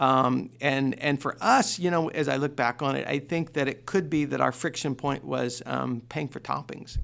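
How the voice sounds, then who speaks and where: In a very clean recording with a silent background, a man speaks at a fairly high pitch with vocal fry. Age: 60s. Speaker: restaurant chain founder. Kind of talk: interview.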